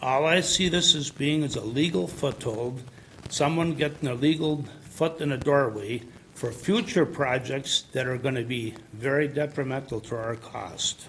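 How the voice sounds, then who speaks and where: Over noticeable background noise, a man with an American accent speaks at a fairly slow pace, his fairly high pitch varying in an ordinary way. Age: 70s. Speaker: farmer. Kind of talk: public hearing testimony. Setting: at a microphone in a public meeting.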